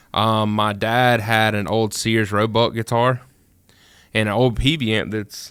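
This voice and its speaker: A man with a Mississippi accent, fairly low in pitch and flat, monotone in intonation, on a very clean recording with a silent background. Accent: Mississippi Southern. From US South, rural Mississippi. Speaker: music producer. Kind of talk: casual chat. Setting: studio.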